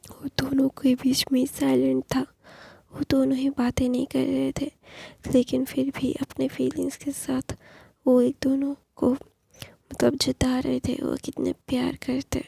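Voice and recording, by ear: A woman with a high pitch speaks at a fairly slow pace in a monotone, flat intonation, her dark, mellow tone carrying vocal fry and a slightly husky edge in a dry, close sound with no echo.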